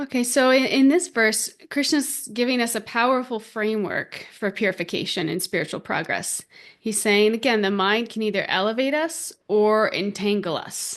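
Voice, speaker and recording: A woman has an ordinary speaking voice at a fairly high pitch, with ordinary pitch variation. She moves at a moderate pace with hardly any pauses against a quiet background. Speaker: podcast host and spiritual teacher. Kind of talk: spiritual teaching podcast talk. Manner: conversational, warm, reflective.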